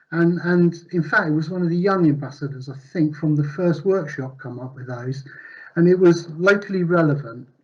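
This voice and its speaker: Audible room echo and noticeable background noise surround a voice with ordinary pitch variation and big swings in loudness. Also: man, fairly high pitch for a man. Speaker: conference presenter. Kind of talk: conference presentation. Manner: fast.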